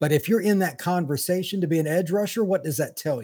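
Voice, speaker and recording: Speaking at a fairly quick pace with an American accent, the man has a dark, mellow, somewhat breathy tone. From East Central Indiana. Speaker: football recruiting analyst. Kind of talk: casual chat.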